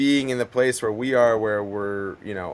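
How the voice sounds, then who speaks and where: In an American accent, an unremarkable speaking voice moves at a moderate pace with fairly even intonation. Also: man. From Montana, US. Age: 30s. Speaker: pro kayaker. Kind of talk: casual interview chat. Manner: laid-back, filler-heavy.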